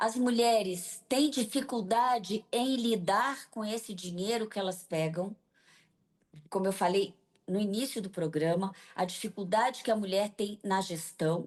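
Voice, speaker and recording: A woman's plain, everyday voice at medium pitch, with ordinary pitch variation, a fairly slow pace and a quiet background. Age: 60s. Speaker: business association leader. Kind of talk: TV interview.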